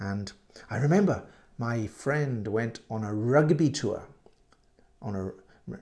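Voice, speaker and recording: A man with a British accent speaks at a very slow pace, using ordinary pitch variation. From UK. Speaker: English teacher. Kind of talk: language lesson podcast. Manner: halting, many repeats and fillers; slow, clear for learners.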